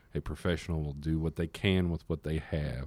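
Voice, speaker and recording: With a Texan accent, a man speaks at a moderate pace in a very deep, low voice, dark and mellow in tone, his intonation monotone and flat, on a very clean recording with a silent background. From Texas, Fort Worth. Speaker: music marketing and distribution manager. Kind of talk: interview. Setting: studio. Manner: halting, many fillers and repetitions.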